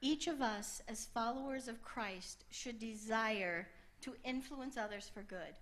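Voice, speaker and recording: Audible room echo surrounds a woman speaking at a very slow pace, her fairly high pitch showing ordinary variation. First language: English (speaking French). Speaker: preacher. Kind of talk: sermon with interpreter. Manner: short phrases paused for translation.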